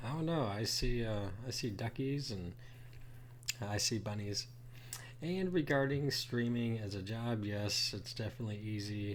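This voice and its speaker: Audible room echo on a man's medium-pitched voice, its pitch varying in an ordinary way. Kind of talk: reaction commentary. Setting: live stream. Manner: slow.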